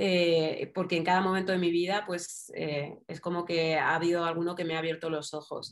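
This woman talks at a moderate pace. Her intonation is fairly even. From Madrid, Spain. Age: 30s. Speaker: writer and journalist. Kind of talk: interview.

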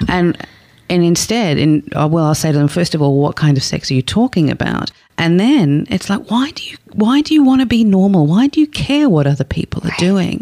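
With an Australian accent, a woman talks at a fairly quick pace, her intonation lively. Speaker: sex therapist. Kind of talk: interview. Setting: studio.

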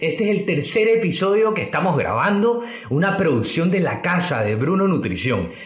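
A man talks at a moderate pace in a high pitch, with lively intonation and very even loudness. Audible room echo and noticeable background noise surround him. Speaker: nutritionist podcast host. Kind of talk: casual chat. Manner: stuttering when excited.

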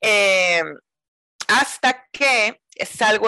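A woman's bright, sharp voice moves with lively intonation, the sound dry and close with no echo. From Mazatlán, Sinaloa, northern Mexico. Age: 40s. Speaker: yoga teacher. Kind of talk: interview. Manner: talkative.

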